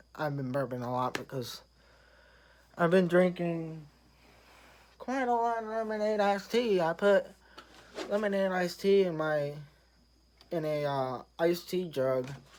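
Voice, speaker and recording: Someone with an American accent speaks at a fairly slow pace, with long, frequent pauses. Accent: Southern US redneck accent, self-described. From US South. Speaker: vlogger. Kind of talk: casual vlog monologue. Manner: halting.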